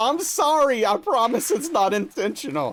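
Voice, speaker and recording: A man talks with very wide swings in pitch. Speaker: video game streamer. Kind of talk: casual live-stream chat. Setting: live stream. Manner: sounds sarcastic.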